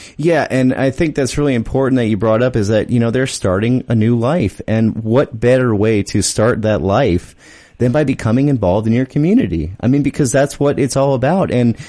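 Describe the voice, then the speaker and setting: In an unremarkable speaking voice, a man of medium pitch talks at a fairly quick pace with ordinary pitch variation, hardly any pauses and very even loudness. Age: 30s. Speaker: radio host. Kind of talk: radio interview. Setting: studio.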